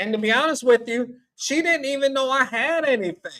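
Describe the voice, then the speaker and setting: A man with a Southern US accent, a bright, sharp tone and ordinary pitch variation. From US South, Tennessee. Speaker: call-in panelist, traveler. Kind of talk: casual call-in panel discussion.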